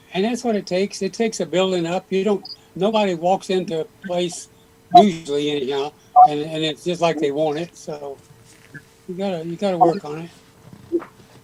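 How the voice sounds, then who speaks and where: A man talks at a high pitch and a fairly quick pace, with ordinary pitch variation. Long, frequent pauses break up his speech amid noticeable background noise. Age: 80s+. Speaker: gardening YouTuber. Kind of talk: casual chat.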